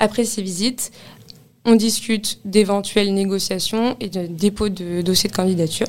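At a moderate pace, a woman with an unremarkable speaking voice talks at medium pitch with fairly even intonation. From Paris, France. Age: 20s. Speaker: office real estate consultant. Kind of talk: interview testimony.

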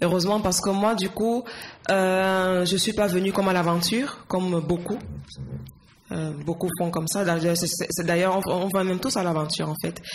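Amid noticeable background noise and audible room echo, a woman speaks at a medium pitch and moderate pace with fairly even intonation. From Cameroon, Yaoundé. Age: 20s. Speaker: nurse. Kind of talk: interview.

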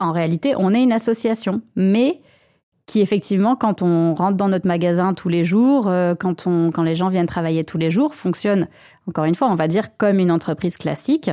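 In a very clean recording with a silent background, a woman with a dark, mellow tone and medium pitch talks at a fairly quick pace, her intonation lively. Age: 30s. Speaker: manager of a repair workshop and shop. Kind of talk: interview.

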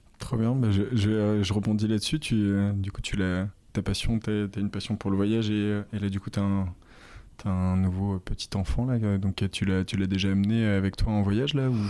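Speaking at a moderate pace, a man with a fairly low pitch and a dark, mellow tone keeps his intonation fairly even on a very clean recording with a silent background. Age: 20s. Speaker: podcast host. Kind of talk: interview. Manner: halting with many repetitions.

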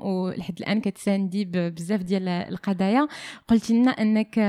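Recorded very cleanly against a silent background, a woman with a plain, everyday voice speaks at a moderate pace and medium pitch with ordinary pitch variation. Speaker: podcast host. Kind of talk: interview.

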